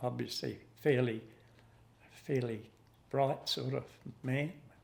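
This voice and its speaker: A man with an Australian accent talks at a fairly slow pace. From South Australia, Adelaide Hills. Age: 80s+. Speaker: fruit grower. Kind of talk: interview reminiscence. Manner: halting.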